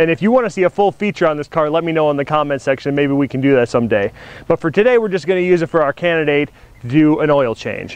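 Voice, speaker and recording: The pace is very fast. The sound is dry, with no echo. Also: man. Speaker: car show host. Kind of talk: casual vlog chat. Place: street.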